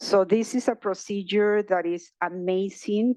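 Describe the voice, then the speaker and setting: A woman speaks with a Spanish accent at a fairly slow pace, with ordinary pitch variation. The background is quiet, and the sound is dry and close with no echo. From Mexico, Guadalajara. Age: 60s. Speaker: journalist and research participant. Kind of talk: personal testimony at event. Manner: halting, many fillers.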